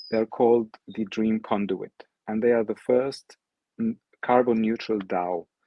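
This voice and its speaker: At a fairly slow pace, a man with an Arabic accent speaks at medium pitch with fairly even intonation. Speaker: NFT artist and project founder. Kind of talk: presentation.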